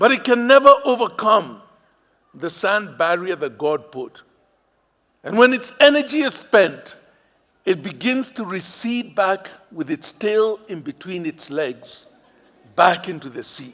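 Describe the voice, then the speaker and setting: A man with a Kenyan accent and a high pitch, with very wide pitch swings and big swings in loudness, at a fairly slow pace with long, frequent pauses. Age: 60s. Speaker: pastor. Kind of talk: sermon. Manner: animated.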